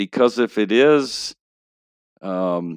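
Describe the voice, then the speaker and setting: A man with a fairly low voice and a Texas accent speaks with lively intonation in a very clean, dry, close recording with a silent background and no echo. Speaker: pastor and novelist. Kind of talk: casual interview podcast. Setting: studio.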